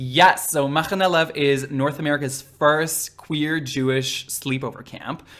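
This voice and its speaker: Fairly even intonation at a moderate pace, on a very clean recording with a silent background. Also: man. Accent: slight Israeli. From Israel. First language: Hebrew. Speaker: drag queen. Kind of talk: casual interview.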